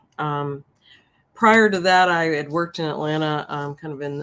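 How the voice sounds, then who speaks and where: A woman speaks with a Southern US accent and ordinary pitch variation. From US South, Memphis, Tennessee. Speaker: professor. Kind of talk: interview.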